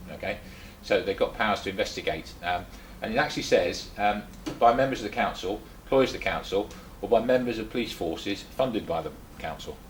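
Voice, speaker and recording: Over noticeable background noise, a man with an English accent talks at a fairly quick pace. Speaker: speaker at activist meeting, former policeman. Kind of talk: talk to a small audience. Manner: fast; halting, many fillers and repeats.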